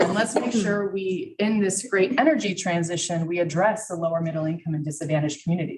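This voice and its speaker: A somewhat breathy woman with an American accent at a fairly quick pace, with ordinary pitch variation. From Texas. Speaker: energy company presenter. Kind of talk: presentation to a county committee. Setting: public meeting room at a podium, streamed live.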